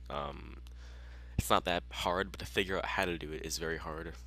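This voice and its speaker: Bright, sharp tone with vocal fry, ordinary pitch variation and a moderate pace. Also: man. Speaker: gaming YouTuber. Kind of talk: game tutorial walkthrough. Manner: casual with frequent fillers.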